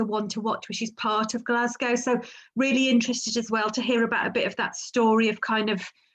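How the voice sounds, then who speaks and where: A woman's fairly high voice at a fairly quick pace against a quiet background. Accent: English Midlands. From English Midlands. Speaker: webinar host. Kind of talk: webinar moderation. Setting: online webinar.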